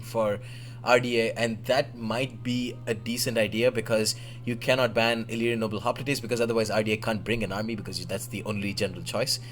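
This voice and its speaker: A man with an Indian accent talks at a fairly quick pace in a medium pitch. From Oman, Indian family. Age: 20s. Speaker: gaming livestreamer and commentator. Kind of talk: live game commentary stream. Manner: flustered, rapid apologies.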